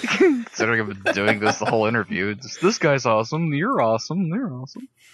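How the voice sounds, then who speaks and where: Over noticeable background noise, a man talks at a fairly quick pace with hardly any pauses. His medium-pitched voice has lively intonation. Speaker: cartoon artist. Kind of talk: interview. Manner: rambling, hesitant with many fillers.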